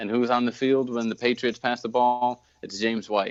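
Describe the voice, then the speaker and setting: Delivered in a monotone, flat intonation, a man's medium-pitched voice moves at a fairly quick pace. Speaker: fantasy football podcast host. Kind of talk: sports podcast segment, fantasy advice.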